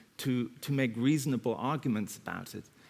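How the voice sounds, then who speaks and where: With a German accent, a man talks at a fairly quick pace. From Germany. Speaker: counter-terrorism expert. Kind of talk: panel discussion.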